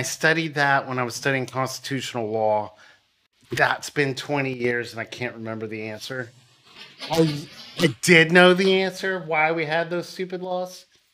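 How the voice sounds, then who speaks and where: Using a normal speaking voice, a man talks at a moderate pace with lively intonation and big swings in loudness. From US, Kentucky. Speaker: podcast guest. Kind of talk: casual chat.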